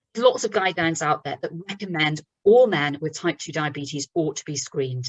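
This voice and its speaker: A woman with a British accent and a very deep, low pitch. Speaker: doctor giving a webinar talk. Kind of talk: lecture. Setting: online webinar. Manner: fast.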